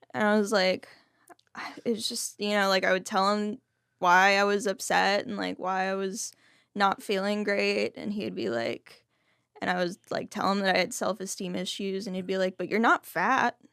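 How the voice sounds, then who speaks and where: In a very clean recording with a silent background and a dry, close sound with no echo, a woman with a normal speaking voice and an American accent talks at a moderate pace and medium pitch with ordinary pitch variation. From Texas, Fort Worth and Dallas. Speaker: person in long-term recovery. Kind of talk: interview testimony.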